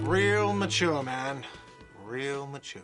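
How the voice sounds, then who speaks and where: Shouting in a whiny, put-on character voice, a man of medium pitch uses ordinary pitch variation, with audible echo and music in the background. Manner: whiny, shouting.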